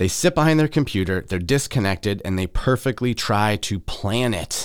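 A man with a Midwestern accent speaks at a moderate pace and a fairly low pitch, with lively intonation. The recording is very clean with a silent background. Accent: general American, Midwestern. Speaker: podcast host. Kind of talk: solo podcast monologue, casual. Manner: casual, animated.

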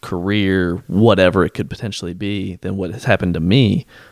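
In a dry, close sound with no echo, a man with an ordinary speaking voice, fairly low pitch and ordinary pitch variation speaks at a moderate pace. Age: 20s. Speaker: healthcare administrator. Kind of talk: casual chat.

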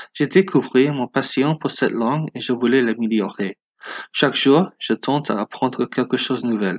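Against a quiet background, a man with an English accent talks at medium pitch with ordinary pitch variation, the sound dry and close with no echo. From US West Coast, Los Angeles. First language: English (speaking French). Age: 20s. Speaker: listener. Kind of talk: recorded listener message.

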